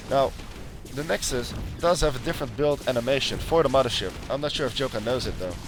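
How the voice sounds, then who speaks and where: A man talks very fast with ordinary pitch variation while music plays in the background. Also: medium pitch for a man. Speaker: game commentator. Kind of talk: esports game commentary. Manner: quiet.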